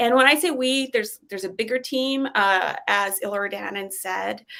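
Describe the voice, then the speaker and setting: A woman with a Canadian accent, a bright, sharp tone and ordinary pitch variation, on a very clean recording with a silent background. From Poland, moved to Canada at 7. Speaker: psychology professor. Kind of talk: panel presentation.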